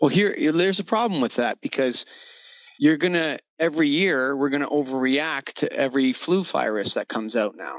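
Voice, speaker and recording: Using an ordinary speaking voice, a man talks at a moderate pace, fairly high in pitch, with lively intonation. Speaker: podcast host. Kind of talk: casual interview.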